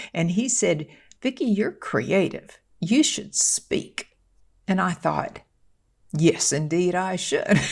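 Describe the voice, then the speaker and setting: A somewhat breathy woman speaks at a very slow pace, with long, frequent pauses. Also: medium pitch for a woman, lively intonation. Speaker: motivational speaker. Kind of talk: casual podcast discussion.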